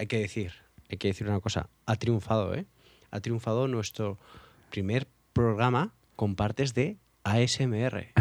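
At a fairly slow pace with long, frequent pauses, a man speaks in a medium pitch with fairly even intonation. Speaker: music podcast co-host. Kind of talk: casual chat.

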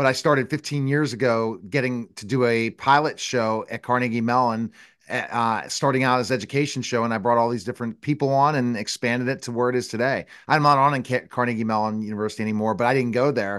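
Against a quiet background, a man talks very fast at a medium pitch with fairly even intonation. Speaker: talk show host. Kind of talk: interview.

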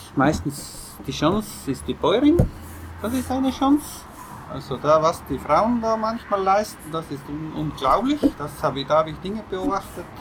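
Over noticeable background noise, a man with a South Tyrolean accent speaks at a moderate pace in a high pitch with very wide pitch swings. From South Tyrol, Ahrntal. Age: 40s. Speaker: organic farmer. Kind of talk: interview. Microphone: poor audio quality.

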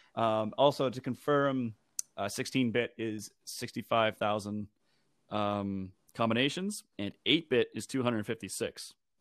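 This is a man with an unremarkable speaking voice, medium in pitch with ordinary pitch variation. He goes at a fairly slow pace in a very clean recording with a silent background. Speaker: video game soundtrack expert. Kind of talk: casual chat.

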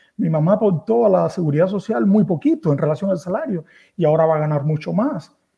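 Talking at a very fast pace, a man with a high pitch uses lively intonation. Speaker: caller. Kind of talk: casual chat.

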